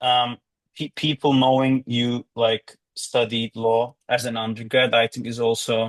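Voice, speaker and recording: At a medium pitch, a man with a slight Turkish accent talks in a flat, monotone way. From Turkey. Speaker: law graduate. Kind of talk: interview. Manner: halting.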